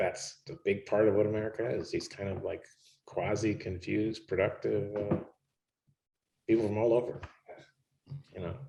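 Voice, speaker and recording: Vocal fry marks a man's medium-pitched voice as he talks at a moderate pace. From Chicago area, US (born in Cuba). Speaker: artist. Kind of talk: public conversation. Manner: halting.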